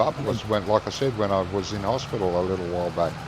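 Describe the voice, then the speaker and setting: With an Australian accent, a man speaks fairly quickly at a fairly low pitch with ordinary pitch variation, over noticeable background noise and audible room echo. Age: 60s. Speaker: gaming streamer. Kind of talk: casual chat.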